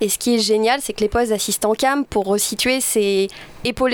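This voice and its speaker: A woman with an unremarkable speaking voice talks at a fairly quick pace and a fairly high pitch, recorded dry and close with no echo. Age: young. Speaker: film director. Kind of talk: interview.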